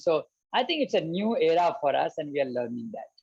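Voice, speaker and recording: With an Indian accent, a man speaks at a moderate pace and a fairly high pitch. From India, Mithila region of Bihar. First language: Maithili. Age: 40s. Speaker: business executive and road safety activist. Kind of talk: interview. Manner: halting.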